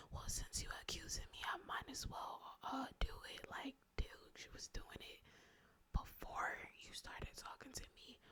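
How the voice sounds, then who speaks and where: A woman whispers at a fairly slow pace. Her loudness swings a lot. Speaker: ASMR creator. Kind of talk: ASMR storytime ramble, casual talk to camera.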